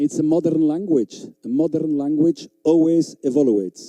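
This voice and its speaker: A man talks with a non-native accent and a dark, mellow tone. The sound is dry and close, with no echo. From Belgium (Flanders). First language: Flemish. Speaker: dog trainer. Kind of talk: seminar lecture. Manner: animated.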